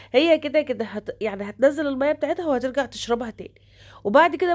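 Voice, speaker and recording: Her pace is fairly quick, with lively intonation. The woman speaks at a high pitch. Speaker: home cooking vlogger. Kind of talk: home vlog narration.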